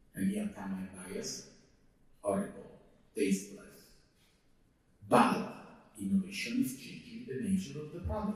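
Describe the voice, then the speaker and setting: Audible room echo surrounds a man speaking at a moderate pace. His loudness swings widely, and he leaves long, frequent pauses. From Italy, Rome. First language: Italian. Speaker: lecturer on technology and ethics. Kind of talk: lecture. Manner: halting.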